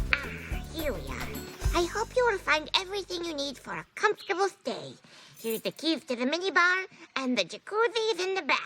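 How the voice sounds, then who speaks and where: A cartoonish character voice at an extremely high pitch, delivered at a moderate pace over faint background music. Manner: formal, polite.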